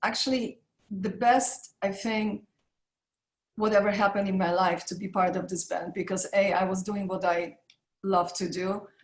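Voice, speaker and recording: A woman's medium-pitched, somewhat breathy voice with a Polish accent. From Poland (Warsaw). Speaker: makeup artist and business founder. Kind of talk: interview.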